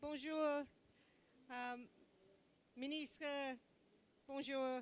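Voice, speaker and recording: A woman speaks with a British accent at a high pitch. Her intonation is monotone and flat. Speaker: government envoy. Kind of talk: conference speech. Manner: slow; loud.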